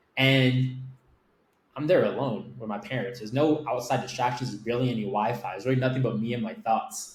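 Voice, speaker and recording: This man speaks with an American accent in an unremarkable speaking voice at medium pitch. His intonation is fairly even and his pace fairly quick. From Miami, Florida. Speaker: agency owner. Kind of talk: interview storytelling. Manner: casual, filler-heavy.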